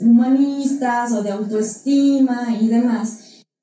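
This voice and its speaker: There is audible room echo around a woman's fairly high voice. Her intonation is fairly even. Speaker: psychologist and business consultant. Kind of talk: interview. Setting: studio.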